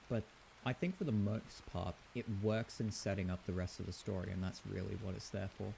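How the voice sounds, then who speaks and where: Somewhat breathy and dark, mellow in tone, a man with a British accent talks at a fairly quick pace, his fairly low pitch kept to fairly even intonation. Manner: strong word emphasis.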